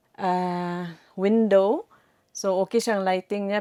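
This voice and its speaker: In a normal speaking voice, a woman talks at a fairly slow pace and medium pitch with fairly even intonation, in a dry, close sound with no echo. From Philippines. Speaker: vlogger. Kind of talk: casual vlog.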